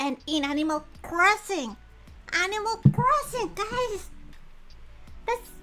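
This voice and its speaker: A raised, projected voice speaks at a very slow pace with long, frequent pauses and very wide pitch swings. Music plays in the background. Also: woman, extremely high pitch for a woman. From Italy. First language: Italian. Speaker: VTuber streamer. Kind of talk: casual livestream chat. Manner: halting.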